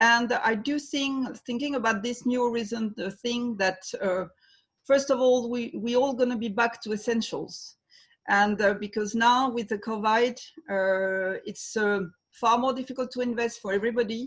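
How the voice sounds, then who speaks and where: Against a quiet background, a woman with a slight French accent speaks at a moderate pace in a fairly high pitch with fairly even intonation. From France. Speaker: trade fair president. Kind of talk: webinar panel discussion. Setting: video call. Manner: halting.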